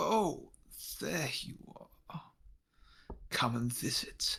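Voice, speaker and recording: A man's whispered, put-on character voice with a menacing tone, at a very slow pace. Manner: menacing, inviting.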